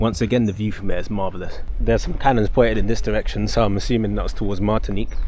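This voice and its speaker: A man at a very fast pace with hardly any pauses, amid noticeable background noise and audible room echo. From Dominica. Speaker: travel vlogger. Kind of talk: travel vlog narration; casual chat. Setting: outdoors.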